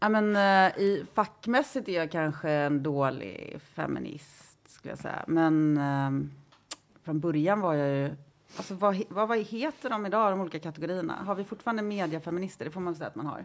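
A woman talks in an unremarkable speaking voice at a moderate pace. Her intonation is lively. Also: fairly low pitch for a woman. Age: 40s. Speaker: journalist and feminist writer. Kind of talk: casual chat.

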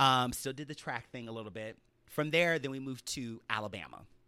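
A man with an American accent, a bright, sharp tone, medium pitch, ordinary pitch variation and a very fast pace. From US South. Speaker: television producer, former college football player. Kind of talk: casual chat.

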